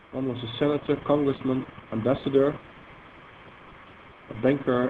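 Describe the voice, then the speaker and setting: Through noticeable background noise, a speaker with a Dutch accent talks in a flat monotone, with big swings in loudness and long, frequent pauses. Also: man. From Netherlands. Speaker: software engineer presenting a database product. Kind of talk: technical seminar presentation. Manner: halting, with many fillers.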